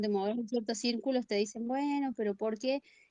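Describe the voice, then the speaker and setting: Dry and close with no echo, a woman's high-pitched voice carries a dark, mellow tone, moving at a fairly quick pace with lively intonation. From Argentina. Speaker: listener calling in. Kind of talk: casual chat. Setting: online live call.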